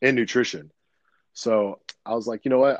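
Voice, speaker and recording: At a moderate pace, a man with a medium-pitched voice speaks with fairly even intonation in a dry, close sound with no echo. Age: 30s. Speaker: ministry founder and nutrition coach. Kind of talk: casual chat.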